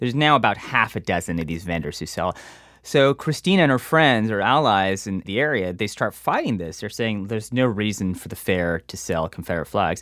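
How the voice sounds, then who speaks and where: A man's unremarkable speaking voice, fairly low in pitch, at a fairly quick pace. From Texas. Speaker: reporter. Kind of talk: casual chat.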